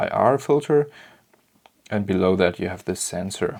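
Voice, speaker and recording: With a non-native accent, a man speaks at a very slow pace using lively intonation. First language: German. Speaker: camera modding tutorial maker. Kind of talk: tutorial. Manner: hesitant, many fillers.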